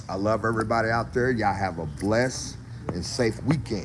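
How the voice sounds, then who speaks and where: A man with a Mississippi accent speaks in an animated tone at a fairly low pitch, with ordinary pitch variation, noticeable background noise and audible room echo. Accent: Southern US (Mississippi) English. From Mississippi, US South. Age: 60s. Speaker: barbecue cook and food vlogger. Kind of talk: casual live-stream chat. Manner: animated, informal.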